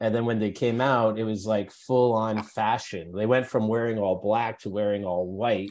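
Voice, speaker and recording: A man with a Canadian accent and an unremarkable speaking voice, fairly low in pitch, at a moderate pace with hardly any pauses and fairly even intonation. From Canada, Edmonton, Alberta. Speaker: podcast host and festival founder. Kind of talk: interview conversation. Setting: video call.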